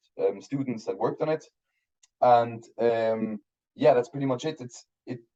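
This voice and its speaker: A man with a German accent talks at a moderate pace, his medium-pitched voice dark and mellow in tone. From Switzerland, Basel. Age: 30s. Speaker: film director. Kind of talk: interview. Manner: halting.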